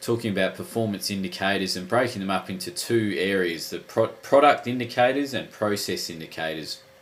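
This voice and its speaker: A man talking with hardly any pauses over noticeable background noise. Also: fairly low pitch for a man. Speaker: sports coaching educator. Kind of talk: tutorial. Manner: halting.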